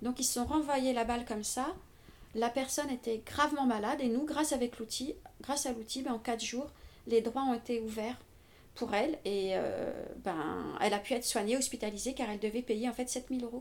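A woman with a high-pitched voice talks at a moderate pace, using ordinary pitch variation and long, frequent pauses. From Paris, France. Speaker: civil servant. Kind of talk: interview. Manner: halting.

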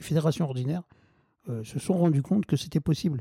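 A man talks in a dark, mellow, somewhat breathy tone with ordinary pitch variation. His sound is dry and close, with no echo. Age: 40s. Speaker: wheelchair football club president. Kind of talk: interview. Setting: at home. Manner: halting.

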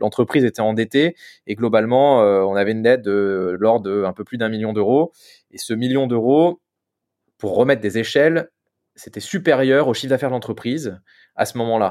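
Against a quiet background, a man with a medium pitch and ordinary pitch variation speaks at a moderate pace, leaving long, frequent pauses. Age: 30s. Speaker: business owner. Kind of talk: interview.

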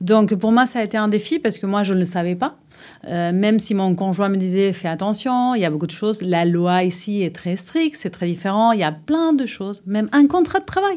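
In a Uruguayan accent, a woman talks at a fairly quick pace. Her pitch is medium and her intonation lively. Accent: Uruguayan Spanish accent in French, sing-song. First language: Spanish (speaking French). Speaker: fitness club general manager. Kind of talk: interview. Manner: hesitant.

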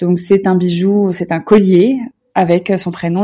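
This woman's voice has a dark, mellow tone. Her pitch is medium. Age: 30s. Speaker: lifestyle blogger. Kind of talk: interview. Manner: hesitant, with repetitions.

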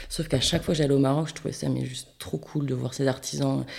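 A woman speaks at a very fast pace with a very deep, low pitch. Her tone is dark and mellow, with vocal fry. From French Basque Country (Bayonne). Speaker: ceramicist. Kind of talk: interview. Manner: animated.

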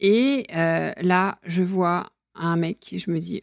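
A woman's fairly low-pitched voice with fairly even intonation, in dry, close sound with no echo. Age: 50s. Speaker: podcast guest telling her love story. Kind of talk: casual interview. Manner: halting, with many fillers.

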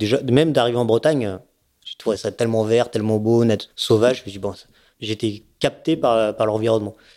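Recorded very cleanly against a silent background, a man talks at a fairly quick pace with fairly even intonation. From Savoie, France. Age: 40s. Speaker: offshore racing sailor. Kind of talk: casual interview. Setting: at a home. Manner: hesitant, many fillers.

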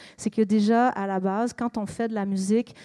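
On a very clean recording with a silent background and a dry, close sound with no echo, a woman with a Quebec accent and a dark, mellow tone speaks at a moderate pace in a monotone, flat intonation. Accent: Québécois French. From Quebec, Montreal. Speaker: singer-songwriter. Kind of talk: public interview.

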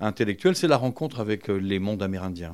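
A man's ordinary speaking voice, fairly low in pitch with ordinary pitch variation, on a very clean recording with a silent background. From France, Vincennes. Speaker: book publisher, festival founder. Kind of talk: interview. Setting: publisher's office.

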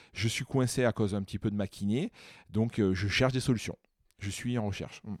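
The sound is dry and close with no echo as a man speaks fairly quickly in a fairly low voice with fairly even intonation. He leaves long, frequent pauses. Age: 30s. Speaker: physiotherapist and osteopath. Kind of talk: casual interview.

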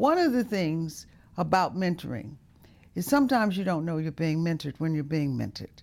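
A woman talks at a fairly quick pace. Her fairly low voice moves through very wide pitch swings. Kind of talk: moderated panel discussion. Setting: studio.

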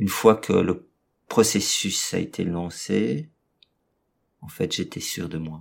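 Very deep and low-pitched, this man talks at a very slow pace with lively intonation, big swings in loudness, and long, frequent pauses. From Brussels, Belgium. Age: 40s. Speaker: restaurant owner and separated father. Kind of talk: personal testimony interview. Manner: hesitant, many fillers and repetitions.

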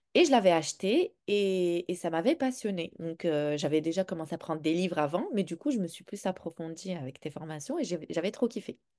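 Her tone dark and mellow, a woman talks at a moderate pace with lively intonation and hardly any pauses, in a dry, close sound with no echo. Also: fairly low pitch for a woman. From Morocco. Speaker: parenting coach for neurodivergent children. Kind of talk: interview testimony.

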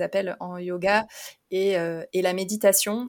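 Her pitch is medium. The voice belongs to a woman. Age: 30s. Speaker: physiotherapist and yoga teacher. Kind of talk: casual interview. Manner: hesitant, many fillers.

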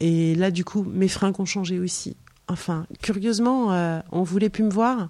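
On a very clean recording with a silent background, a woman of medium pitch speaks in a normal speaking voice at a fairly slow pace with fairly even intonation. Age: 50s. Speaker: author. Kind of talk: casual chat. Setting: in her home.

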